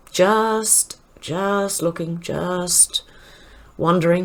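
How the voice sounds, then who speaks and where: A woman speaks with an Australian accent at a medium pitch. Her pitch varies in an ordinary way. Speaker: online commentator. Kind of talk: news roundup reading.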